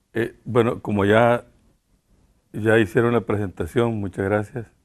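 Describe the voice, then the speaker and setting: A man talks at a moderate pace with fairly even intonation. His pitch is fairly low. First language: Spanish. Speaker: Jesuit priest and human rights defender. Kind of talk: public talk through an interpreter. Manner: halting.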